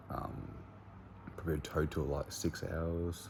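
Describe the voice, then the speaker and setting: A man speaks quietly at a moderate pace with fairly even intonation. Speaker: personal trainer and bodybuilding competitor. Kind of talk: vlog talking to camera. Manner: hushed, quiet.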